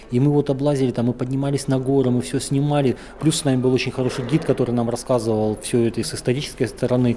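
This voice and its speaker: Very fast and in a monotone, flat intonation, a man at a medium pitch speaks over noticeable background noise. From northern Kazakhstan. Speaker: panoramic photographer and traveler. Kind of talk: interview. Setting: travel festival.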